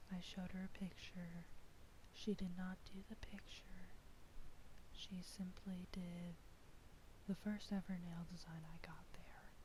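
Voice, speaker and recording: Fairly slow delivery broken by long, frequent pauses. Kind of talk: ASMR story time, casual talk. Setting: cheap headset mic. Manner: soft-spoken.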